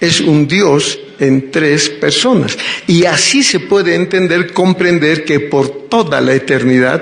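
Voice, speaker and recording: Amid noticeable background noise and audible room echo, a man with a fairly high pitch speaks very slowly, his pitch varying in an ordinary way. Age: 60s. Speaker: preacher. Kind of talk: sermon.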